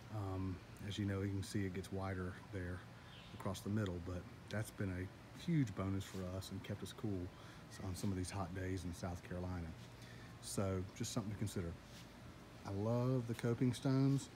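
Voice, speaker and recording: The pace is moderate, and pitch varies in an ordinary way. Pauses are long and frequent, the voice is somewhat breathy, and background noise is noticeable. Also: man, fairly low pitch for a man. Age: 40s. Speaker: homeowner YouTuber. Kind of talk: casual vlog tutorial. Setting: outdoors in backyard by pool. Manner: casual, filler-heavy. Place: garden. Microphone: phone near.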